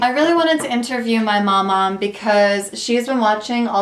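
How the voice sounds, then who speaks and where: At a moderate pace, a woman speaks in a medium pitch with ordinary pitch variation over noticeable background noise. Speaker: podcast host and interviewer. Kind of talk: interview questions.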